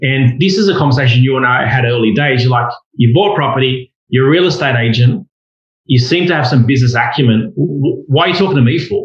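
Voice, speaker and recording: A man with an Australian accent, medium pitch, very even loudness, and a fairly quick pace. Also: ordinary pitch variation. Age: 40s. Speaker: property investor. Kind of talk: casual chat.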